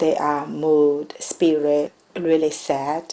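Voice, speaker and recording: A woman with a Chinese accent speaks in a very deep, low voice. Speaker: immigrant nurse. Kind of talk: testimony. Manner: halting.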